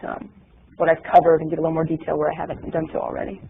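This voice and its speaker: A man speaks with an American accent. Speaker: space program manager. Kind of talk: press briefing presentation. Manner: fast.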